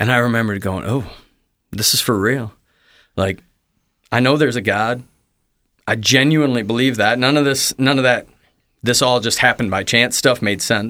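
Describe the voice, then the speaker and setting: In a very clean recording with a silent background, a man with an American accent speaks at a moderate pace, using a medium pitch, fairly even intonation and a bright, sharp tone. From US Midwest. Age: 30s. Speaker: pastor. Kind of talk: testimony. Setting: studio. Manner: talkative.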